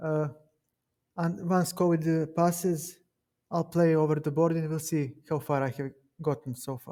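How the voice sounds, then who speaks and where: Moving along fairly slowly, this speech carries a dark, mellow tone. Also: man. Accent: Serbian. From Serbia. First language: Serbian. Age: 30s. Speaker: chess streamer. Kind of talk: casual chat. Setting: live stream with Discord call.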